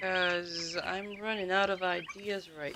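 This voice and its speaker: A woman talks at a moderate pace with fairly even intonation. Noticeable background noise and audible room echo are present. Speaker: gaming streamer. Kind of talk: live stream chat. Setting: home, late evening. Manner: quiet; halting.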